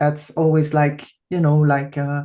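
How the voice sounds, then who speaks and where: A woman speaks with a Flemish accent. Her tone is dark and mellow. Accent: Flemish Dutch accent in English. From Belgium (Flanders). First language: Dutch. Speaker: podcast host, massage therapist. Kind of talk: podcast interview. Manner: halting, searching for English words.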